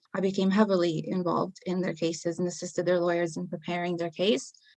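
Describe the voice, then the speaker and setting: A woman speaks at a medium pitch. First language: not English. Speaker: paralegal in criminal defence. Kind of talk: podcast interview, personal testimony.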